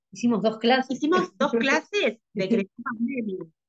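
This woman has an unremarkable speaking voice, fairly high in pitch, with lively intonation. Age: 30s. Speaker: skating coach. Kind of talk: interview conversation. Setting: video call.

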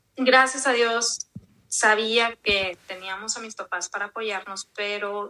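A woman with a fairly high pitch speaks at a very slow pace, her loudness swinging widely. Her intonation stays fairly even. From Mexico, Monterrey. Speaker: podcast host guest. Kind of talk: interview testimony.

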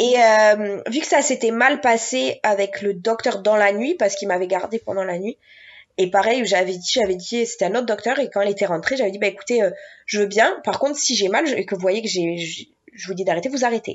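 A woman speaks fairly quickly in a normal speaking voice. Her pitch is medium, with ordinary variation. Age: 20s. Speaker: mother sharing birth stories. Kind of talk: interview testimony.

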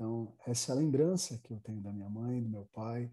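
Dark and mellow, the man's voice is also somewhat breathy. He speaks at a moderate pace. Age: 30s. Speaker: pastor. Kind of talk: casual chat.

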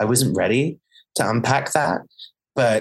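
Moderate speed from a male speaker, his pitch varying in an ordinary way. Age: 30s. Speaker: theatre director. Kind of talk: interview.

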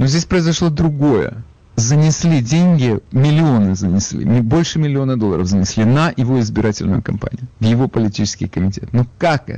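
A normal speaking voice from a man at a medium pitch. He keeps a moderate pace with lively intonation. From Ukraine, Odesa. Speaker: radio talk show host. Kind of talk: call-in radio talk show.

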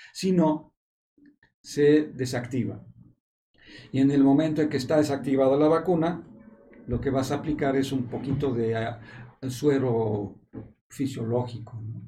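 A man's somewhat breathy, dark, mellow tone with a Mexican accent, at a medium pitch with ordinary pitch variation, a fairly slow pace, long, frequent pauses and audible room echo. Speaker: epidemiologist. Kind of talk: panel discussion on a medical talk show. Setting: studio in a hospital.

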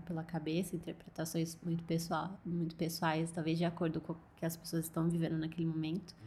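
This woman's voice sits at a fairly low pitch. It sounds somewhat breathy. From interior of São Paulo state, Brazil. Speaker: illustrator. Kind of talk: interview.

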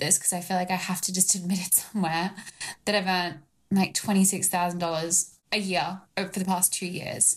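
Speaking at a moderate pace, a woman with a medium-pitched, somewhat breathy voice keeps a monotone, flat intonation. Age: 20s. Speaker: retreat business founder. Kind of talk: coaching conversation.

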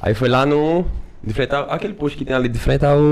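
At a very fast pace, a man with a fairly high pitch speaks using lively intonation. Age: 20s. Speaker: podcast host, guest. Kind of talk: casual chat.

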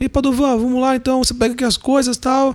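A man's put-on character voice at an extremely high pitch, very fast, with monotone, flat intonation and very even loudness. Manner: authoritative, booming.

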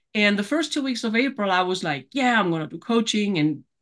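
A woman speaks with a German accent and very wide pitch swings. The background is quiet. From Germany. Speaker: author and life coach. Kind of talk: interview, casual chat. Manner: animated.

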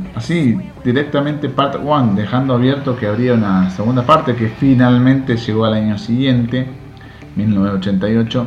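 A man at a fairly slow pace, medium-pitched with ordinary pitch variation, audible room echo and music in the background. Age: 40s. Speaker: podcast host. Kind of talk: casual monologue.

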